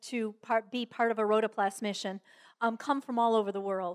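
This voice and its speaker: Captured in a very clean recording with a silent background, a woman with an ordinary speaking voice talks at a moderate pace in a fairly high pitch, with ordinary pitch variation and a dry, close sound with no echo. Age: 60s. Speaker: Rotary club speaker and volunteer. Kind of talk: talk to a club. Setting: club luncheon with audience. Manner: conversational with fillers.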